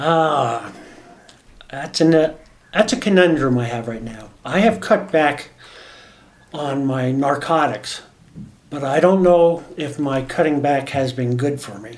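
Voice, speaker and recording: Amid noticeable background noise and audible room echo, a man with an American accent speaks at a fairly high pitch and a fairly slow pace, with big swings in loudness and long, frequent pauses. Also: ordinary pitch variation. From New Jersey, US East Coast. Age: 60s. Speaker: medical cannabis patient. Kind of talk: interview testimony. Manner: halting, many fillers.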